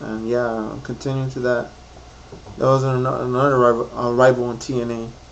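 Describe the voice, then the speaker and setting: A man speaks at a moderate pace in a medium pitch, his intonation flat and monotone, with audible room echo and noticeable background noise. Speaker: YouTuber reviewing wrestling show. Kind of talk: casual vlog recap. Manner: rambling, halting with many fillers.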